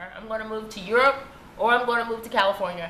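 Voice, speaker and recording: A woman speaks at a medium pitch with fairly even intonation. Noticeable background noise and audible room echo fill the recording. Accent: Texas. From Texas, southeast rural. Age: 20s. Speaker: vlogger. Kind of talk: personal video monologue.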